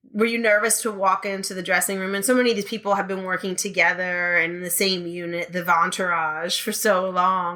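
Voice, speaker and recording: With a New York accent, a woman at medium pitch talks at a fairly quick pace, her intonation fairly even and hardly any pauses in between. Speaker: podcast host and burlesque performer. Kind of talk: interview.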